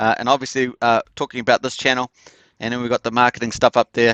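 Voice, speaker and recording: A man's medium-pitched voice in a New Zealand accent at a very fast pace, with a dry, close sound with no echo and a quiet background. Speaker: crypto project promoter. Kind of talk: live stream presentation. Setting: live stream. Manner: casual, many filler words.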